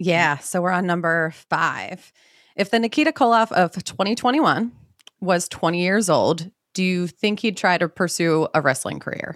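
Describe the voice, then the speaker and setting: In a very clean recording with a silent background and a dry, close sound with no echo, a woman with an American accent and an unremarkable speaking voice talks at a fairly slow pace with lively intonation. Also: fairly low pitch for a woman. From US Mid-Atlantic (Maryland). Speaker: podcast co-host. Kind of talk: casual chat and interview.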